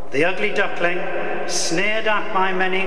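A man's moderate-paced speech comes with noticeable background noise. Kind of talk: formal speech. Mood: solemn, proud tribute. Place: hall. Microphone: podium.

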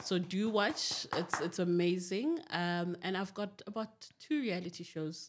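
A woman talks at a fairly slow pace with ordinary pitch variation. Noticeable background noise can be heard. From Zimbabwe. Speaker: television producer. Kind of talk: podcast interview. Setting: studio. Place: studio. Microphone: studio mic.

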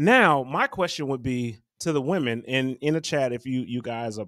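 A man at a moderate pace with ordinary pitch variation over a quiet background. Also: dry sound with no echo. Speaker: podcast co-host. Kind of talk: casual podcast discussion. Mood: curious, lightly joking. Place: home room. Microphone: studio mic.

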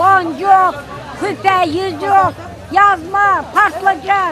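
Over crowd noise in the background, a woman projects a raised voice at an extremely high pitch, speaking at a very slow pace with fairly even intonation in a dry sound with no echo. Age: 70s. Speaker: market vendor. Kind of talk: street interview answer. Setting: outdoors. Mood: warm, cheerful, affectionate. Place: market. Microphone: phone near.

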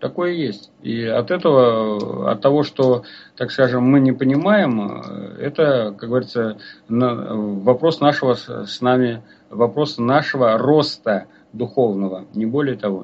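A man's very slow speech with ordinary pitch variation. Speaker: folk culture researcher and author; radio co-host. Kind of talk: radio lecture with listener Q&A; radio talk lecture. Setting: live radio broadcast. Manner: halting, frequent filler sounds; formal. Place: studio.

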